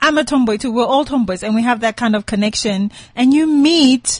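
Fairly high in pitch, a woman's voice comes across as somewhat breathy. She speaks at a moderate pace with ordinary pitch variation. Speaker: friend guest on show. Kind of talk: casual chat. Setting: studio. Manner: quiet, reserved.

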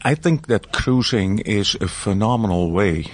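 A man talks over noticeable background noise. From Europe. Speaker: cruise line executive. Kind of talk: interview. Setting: on a cruise ship. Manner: halting.

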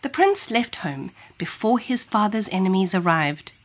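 This is plain reading aloud. The text is read through as written.

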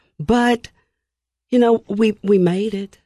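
A woman speaks with a Tennessee accent, her tone dark and mellow. The pace is fairly slow, and the sound is dry and close with no echo. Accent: Southern US (Tennessee). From US South, Nashville, Tennessee. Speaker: pastor. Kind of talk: interview.

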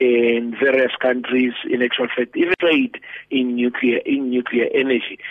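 Monotone, flat intonation marks this man's speech at a moderate pace. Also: medium pitch for a man, very even loudness. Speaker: pastor and economic commentator. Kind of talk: radio interview.

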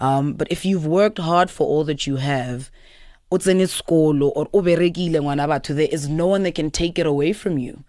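Dark, mellow tone at a fairly quick pace, with ordinary pitch variation and a quiet background. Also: woman, very deep, low pitch for a woman. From South Africa, Pretoria. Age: young. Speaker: DJ. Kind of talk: radio interview.

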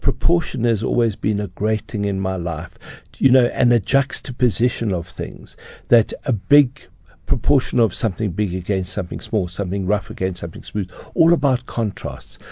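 Lively intonation marks this man's fairly low voice, which has a dark, mellow tone and vocal fry, moving at a moderate pace over a quiet background. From South Africa, Johannesburg. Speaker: interior designer. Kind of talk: interview. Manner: hesitant, filler-heavy.

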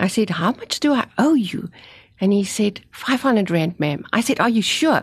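A woman speaks with a South African accent at a fairly high pitch and a moderate pace. Her voice is somewhat breathy, with lively intonation. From South Africa, Afrikaans-speaking. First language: Afrikaans. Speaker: author and cancer survivor. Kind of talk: testimony. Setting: studio.

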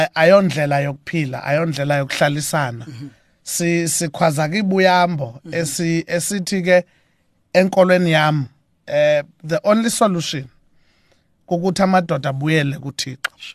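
Against a quiet background, a man with a South African accent speaks at a fairly high pitch, with big swings in loudness. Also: ordinary pitch variation, moderate pace. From South Africa, Eastern Cape (Mthatha). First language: Xhosa. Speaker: gospel musician. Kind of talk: radio interview. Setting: radio studio.

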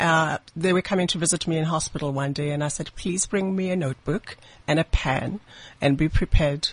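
A woman talks at a moderate pace in a very deep, low pitch with ordinary pitch variation. Her voice is somewhat breathy, heard in a dry, close sound with no echo. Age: 40s. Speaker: lawyer and bioethicist, cancer survivor. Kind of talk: radio interview guest. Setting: radio studio.

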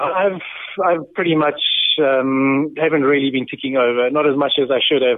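A man at a moderate pace, fairly high in pitch, with fairly even intonation, very even loudness and noticeable background noise. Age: 30s. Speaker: former professional triathlete. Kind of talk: casual interview.

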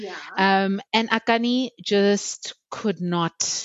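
In a normal speaking voice, the speaker talks with lively intonation. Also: woman. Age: 30s. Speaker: podcast co-host. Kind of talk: casual chat.

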